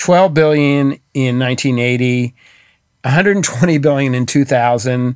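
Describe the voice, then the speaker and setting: A normal speaking voice with an American accent, moving at a moderate pace with ordinary pitch variation. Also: man. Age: 60s. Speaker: author. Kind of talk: interview.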